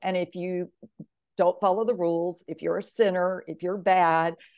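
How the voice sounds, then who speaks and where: A woman with an American accent, a normal speaking voice, at a fairly slow pace. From US South, Mississippi. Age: 50s. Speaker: author and veteran. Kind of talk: interview, personal testimony.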